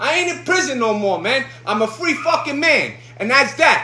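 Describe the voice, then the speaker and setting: Over noticeable background noise and audible room echo, a man with a New York accent uses a raised, projected voice at an extremely high pitch, with very wide pitch swings at a moderate pace. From New York, Brooklyn. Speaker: livestreamer cooking and talking. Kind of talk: casual livestream cooking chat. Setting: home kitchen livestream. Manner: animated.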